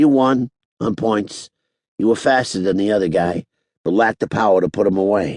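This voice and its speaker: In a raspy, put-on character voice, a man with a fairly low pitch speaks at a moderate pace with ordinary pitch variation, the sound dry and close with no echo. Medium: read story. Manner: laid-back, folksy.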